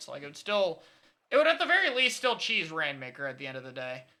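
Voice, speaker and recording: Very fast speech over noticeable background noise. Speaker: competitive gaming streamer. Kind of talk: live stream chat answering viewer questions.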